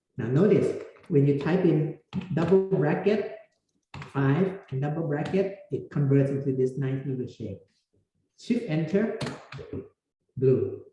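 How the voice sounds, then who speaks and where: Audible room echo surrounds a man's high voice as he talks at a fairly slow pace with lively intonation. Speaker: university lecturer. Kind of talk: lecture. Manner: halting.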